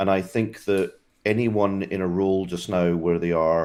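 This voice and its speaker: A very deep, low-pitched man with a Scottish accent at a moderate pace, fairly even in intonation, on a very clean recording with a silent background. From Scotland. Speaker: tech industry guest, former operations team lead. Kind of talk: casual video interview.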